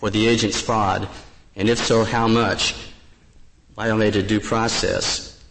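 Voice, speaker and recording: Noticeable background noise is present. Over it, a man speaks at medium pitch and a moderate pace. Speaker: lawyer arguing before the court. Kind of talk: oral argument. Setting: courtroom. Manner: halting, repeats words.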